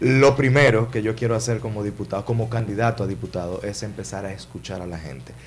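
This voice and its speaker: Talking at a very fast pace with vocal fry, a man shows ordinary pitch variation and big swings in loudness. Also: fairly low pitch for a man, hardly any pauses. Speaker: politician, congressional candidate. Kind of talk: interview.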